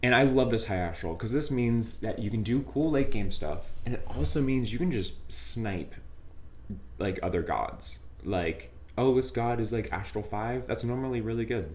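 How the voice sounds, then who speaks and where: A man's voice, delivered at a moderate pace, carries audible room echo. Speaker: game streamer. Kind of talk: casual gameplay commentary. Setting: live stream.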